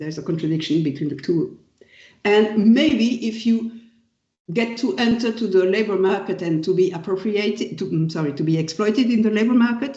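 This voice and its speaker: With a French accent, the delivery keeps a moderate pace. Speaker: professor. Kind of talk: lecture. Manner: halting.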